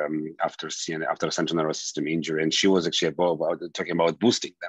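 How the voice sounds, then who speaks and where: Over a quiet background, a man with a very deep, low pitch speaks with fairly even intonation. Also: dry sound with no echo. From Soviet Georgia, then Israel from teens. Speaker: immunology professor. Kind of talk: interview. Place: home room. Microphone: video call.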